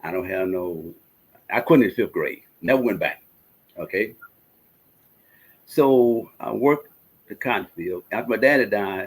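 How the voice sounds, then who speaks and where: The speech comes in a Mississippi accent with lively intonation. It moves at a fairly slow pace, broken by long, frequent pauses. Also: man. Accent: Mississippi Southern. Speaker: energy technology presenter. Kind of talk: casual chat. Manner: animated.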